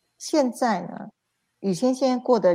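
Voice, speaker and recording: A woman speaks in an unremarkable speaking voice at a moderate pace with ordinary pitch variation, on a very clean recording with a silent background. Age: 50s. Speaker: spiritual self-help teacher. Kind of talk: livestream lecture.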